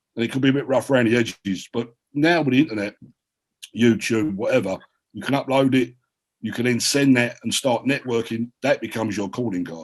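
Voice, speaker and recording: Talking at a fairly quick pace, a man with a strong South London accent keeps a medium pitch and ordinary pitch variation. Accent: heavy South London. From South London (Peckham). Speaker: writer and filmmaker. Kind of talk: panel discussion. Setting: video call. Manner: animated.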